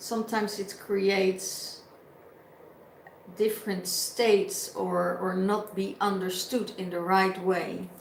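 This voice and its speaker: A woman with a non-native accent speaks at a very slow pace in a monotone, flat intonation. Room echo is audible, along with noticeable background noise. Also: medium pitch for a woman. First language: not English. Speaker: tarot reader. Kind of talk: spiritual reading. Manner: halting.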